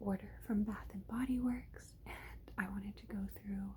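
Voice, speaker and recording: A woman whispers. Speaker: ASMR creator. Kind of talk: ASMR product haul review, casual talk to camera. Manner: whispered, rambling.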